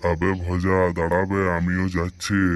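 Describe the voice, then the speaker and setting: Using a cartoonish character voice, a man speaks in a very deep, low pitch with monotone, flat intonation. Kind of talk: comic rustic cartoon dialogue. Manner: blunt, colloquial, gruff.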